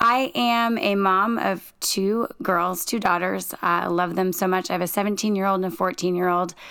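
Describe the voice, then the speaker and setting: On a very clean recording with a silent background, a woman with a plain, everyday voice talks at medium pitch and a moderate pace, her loudness very even and her pitch varying in an ordinary way. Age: 40s. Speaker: police lieutenant. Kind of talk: casual chat. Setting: recording in a home closet.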